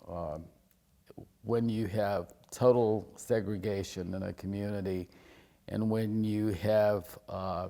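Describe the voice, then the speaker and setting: A man with a Virginia accent speaks fairly slowly in a dark, mellow tone at a fairly low pitch. His intonation is monotone and flat. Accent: Virginia Southern. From Lexington, Virginia. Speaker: history professor. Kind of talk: oral history interview answer.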